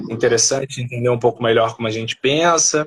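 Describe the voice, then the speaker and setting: An unremarkable speaking voice at a fairly quick pace. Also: man. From Brazil, Rio de Janeiro. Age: 30s. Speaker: philosopher and political movement leader. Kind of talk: live stream interview.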